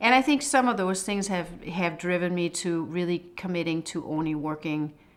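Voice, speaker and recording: A fairly low-pitched woman's voice with a Danish accent, at a fairly quick pace, in a very clean recording with a silent background. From Denmark. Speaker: HR executive. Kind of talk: interview testimony.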